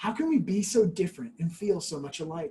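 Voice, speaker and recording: This is a put-on character voice at a middle pitch. It moves along at a fairly quick pace. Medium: read story.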